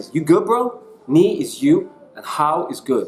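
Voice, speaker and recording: Noticeable background noise can be heard while a man talks. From Ireland. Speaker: online English teacher. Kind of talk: tutorial. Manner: animated.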